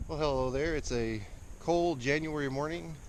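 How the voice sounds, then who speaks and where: Audible room echo follows a man talking at a fairly quick pace. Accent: Texas. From Texas. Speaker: cattle farmer. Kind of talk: casual vlog. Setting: outdoors. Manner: halting, many fillers.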